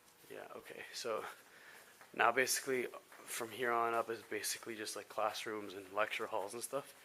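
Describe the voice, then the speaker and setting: This voice is loud, its intonation monotone and flat. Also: man, medium pitch for a man, moderate pace. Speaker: student vlogger giving campus tour. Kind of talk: casual walking tour vlog. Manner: naturally loud voice; keeping voice down.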